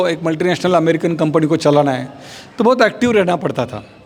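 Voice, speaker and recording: Against noticeable background noise, a man speaks at a moderate pace with a high pitch and ordinary pitch variation. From Maharashtra, India. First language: Marathi (speaking Hindi). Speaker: spiritual speaker. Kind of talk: religious talk.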